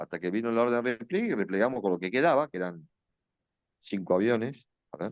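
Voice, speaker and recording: A man with an Argentine accent speaks at a very fast pace and medium pitch with lively intonation, leaving long, frequent pauses. The sound is dry and close, with no echo. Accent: Rioplatense Argentine Spanish. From Argentina, Buenos Aires. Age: 60s. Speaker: retired air force officer and war veteran. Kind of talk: interview testimony. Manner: hesitant, with many fillers and restarts.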